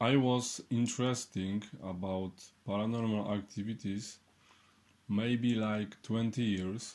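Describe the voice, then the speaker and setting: A man with a Polish accent speaks at a very slow pace. His pitch is medium and varies in an ordinary way. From Poland. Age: 30s. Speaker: clairvoyant and healer. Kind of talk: online workshop. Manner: halting.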